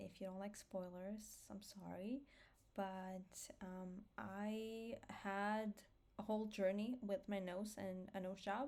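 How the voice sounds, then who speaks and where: A woman with a medium pitch speaks at a very slow pace in an Armenian accent, her intonation fairly even. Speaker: vlogger. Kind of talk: personal vlog monologue. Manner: hesitant, many fillers.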